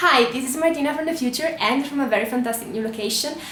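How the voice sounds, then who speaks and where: With an Italian accent, a woman talks at a high pitch with ordinary pitch variation, audible room echo and noticeable background noise around her. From Italy. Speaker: travel vlogger. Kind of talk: casual vlog monologue.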